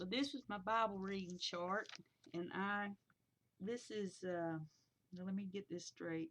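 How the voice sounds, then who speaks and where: Speaking at a fairly slow pace with long, frequent pauses, a woman uses a medium pitch and ordinary pitch variation. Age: 60s. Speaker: Bible journaling vlogger. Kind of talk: casual chat. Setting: webcam recording at home. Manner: halting.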